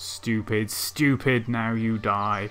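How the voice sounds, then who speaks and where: A man uses a put-on character voice. His pitch sits in the medium range. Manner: menacing.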